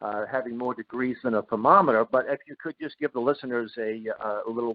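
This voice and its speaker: At a fairly quick pace, a man of medium pitch speaks in an unremarkable speaking voice. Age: 60s. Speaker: radio host. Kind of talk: interview. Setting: radio show.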